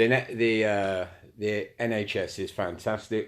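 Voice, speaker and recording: A man with a Cockney accent talks at a fairly low pitch. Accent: London Cockney. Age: 60s. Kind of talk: casual live-stream monologue. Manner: casual, rambling, sweary.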